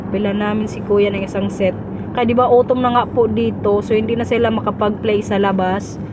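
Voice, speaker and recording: Over noticeable background noise and audible room echo, a woman talks at a fairly quick pace. Her medium-pitched voice stays monotone and flat. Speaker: vlogger. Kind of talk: casual vlog talk.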